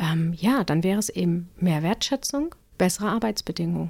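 A woman's unremarkable speaking voice at a moderate pace, with ordinary pitch variation. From northern Germany, Cuxhaven. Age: 40s. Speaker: pediatric nurse and first-aid trainer. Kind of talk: casual interview.

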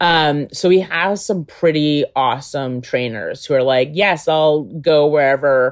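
The speaker talks at a fairly slow pace in a New York State accent, with ordinary pitch variation. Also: woman. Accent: American, New York State. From upstate New York (Albany). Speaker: political communications specialist. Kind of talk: interview conversation.

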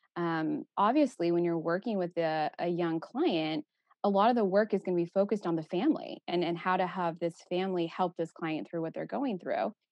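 This woman, in a plain, everyday voice with an American accent, talks at a fairly quick pace with lively intonation and hardly any pauses. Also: fairly low pitch for a woman. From Texas. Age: 30s. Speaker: eating disorder therapist. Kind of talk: casual interview.

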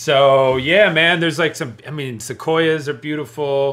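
A man talks at a fairly slow pace with fairly even intonation in a plain, everyday voice. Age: 30s. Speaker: comedian. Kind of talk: casual chat.

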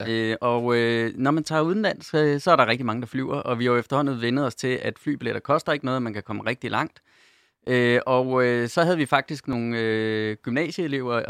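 A man with a plain, everyday voice at medium pitch and ordinary pitch variation speaks at a fairly quick pace, the sound dry and close with no echo in a very clean recording with a silent background. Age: 40s. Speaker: corporate sustainability manager. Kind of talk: radio panel discussion. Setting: studio.

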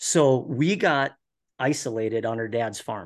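A man with an Upper Midwest accent speaks against a quiet background. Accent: Upper Midwest (Minnesota). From Minnesota. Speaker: guest, hobby farmer and viewer. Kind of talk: casual interview chat.

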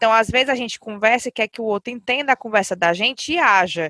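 Speaking at a fairly quick pace with a bright, sharp tone and ordinary pitch variation, a woman is heard on a very clean recording with a silent background and a dry, close sound with no echo. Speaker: podcast host. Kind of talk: casual chat.

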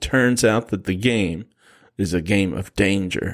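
Very clean, with a silent background, the recording has a man with an American accent using an ordinary speaking voice, a fairly low pitch, ordinary pitch variation and a fairly slow pace. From US Midwest. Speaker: film podcast co-host. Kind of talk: casual chat. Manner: laughs often.

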